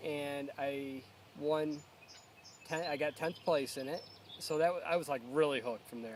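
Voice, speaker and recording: Speaking with an American accent, a man keeps a moderate pace. His pitch sits fairly high. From upstate New York (Endwell). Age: 30s. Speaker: competitive angler. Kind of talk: casual personal interview. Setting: outdoors by a pond. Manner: halting, many fillers.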